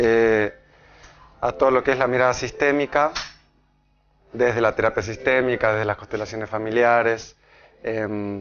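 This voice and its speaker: A man speaks at a medium pitch and a moderate pace, with a slight Argentine accent. His intonation stays fairly even. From Argentina. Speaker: pediatrician and astrology speaker. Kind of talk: public talk. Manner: halting, with many fillers and repetitions.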